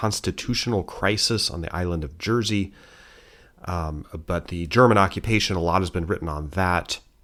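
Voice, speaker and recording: A man with an American accent talks at a moderate pace, his very deep, low pitch moving with ordinary variation. The recording is very clean, with a silent background. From United States. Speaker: historian and history teacher. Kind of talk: casual history news show. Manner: conversational with many fillers and restarts.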